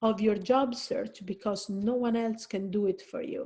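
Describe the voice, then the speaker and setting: In an Italian accent, a woman speaks at a fairly slow pace with a fairly high pitch, a dark, mellow tone, a somewhat breathy quality, and fairly even intonation. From Italy. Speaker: career counselor. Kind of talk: presentation. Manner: conversational, with fillers.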